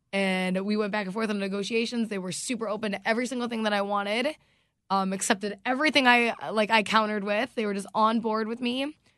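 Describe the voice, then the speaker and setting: A woman with an American accent, fairly high-pitched and very fast, against a quiet background. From US South, North Carolina. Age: 20s. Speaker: radio DJ. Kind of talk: casual chat. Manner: animated.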